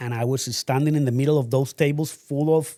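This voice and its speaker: In a Spanish accent, a man speaks with a dark, mellow tone. His intonation is fairly even and his pace moderate. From Colombia. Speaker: real estate broker and company owner. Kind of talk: interview. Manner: hesitant, with many fillers.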